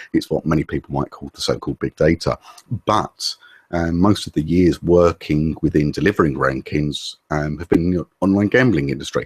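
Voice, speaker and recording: Speaking in an English accent, a man has a very deep, low pitch with ordinary pitch variation. His moderate pace comes through in a dry, close sound with no echo. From England. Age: 40s. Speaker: SEO specialist. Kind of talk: interview. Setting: video call.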